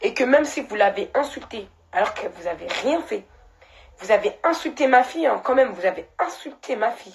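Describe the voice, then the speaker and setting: This woman's voice sits high and swings very widely in pitch. She keeps a moderate pace. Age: 20s. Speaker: social media personality. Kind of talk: live stream monologue. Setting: live stream. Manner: emotional, halting.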